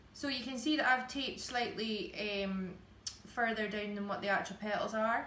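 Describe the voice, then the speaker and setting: Speaking at a moderate pace with an Aberdeen accent, a woman uses a fairly high pitch and ordinary pitch variation, while noticeable background noise and audible room echo fill the recording. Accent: Scottish (Aberdeen). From Scotland, Aberdeen. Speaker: cake decorator and teacher. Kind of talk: live tutorial demonstration. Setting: home kitchen studio, live stream.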